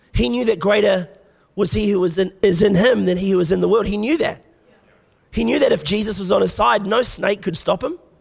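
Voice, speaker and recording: With an Australian accent, a man speaks in a high pitch at a fairly quick pace. His tone is animated, with ordinary pitch variation. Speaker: guest preacher. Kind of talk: sermon. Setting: church.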